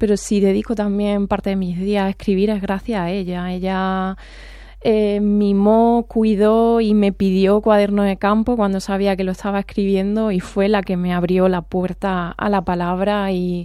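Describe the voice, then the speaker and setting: A woman speaks in an Andalusian accent at a medium pitch with a dark, mellow tone. Her pace is fairly slow and her intonation monotone and flat. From Andalusia, Córdoba. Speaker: poet and veterinarian. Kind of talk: radio interview.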